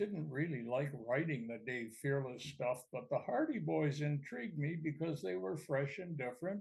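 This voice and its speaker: A man's fairly high, somewhat breathy voice at a moderate pace, with a Canadian accent. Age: 80s+. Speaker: retired hockey commentator. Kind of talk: podcast interview answer. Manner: hesitant, anecdotal.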